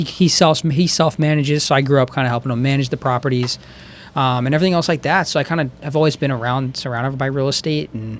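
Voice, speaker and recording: A man talks at a very fast pace with an American accent. His pitch is fairly high, and his intonation stays fairly even. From Downingtown, Chester County, Pennsylvania, US. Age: 20s. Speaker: real estate agent. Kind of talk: casual interview chat.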